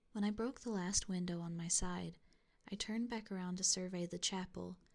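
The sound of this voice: What we hear is an unforced reading voice.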